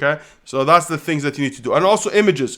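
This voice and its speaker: Lively intonation with a non-native accent. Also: man. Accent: foreign. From Kuwait. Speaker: online business coach. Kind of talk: live Q&A. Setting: livestream.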